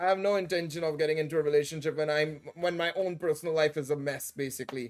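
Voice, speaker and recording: Someone with an American accent speaks at a very fast pace with fairly even intonation while music plays in the background. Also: man, fairly high pitch for a man. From India. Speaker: gaming streamer. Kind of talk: livestream chat. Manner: halting.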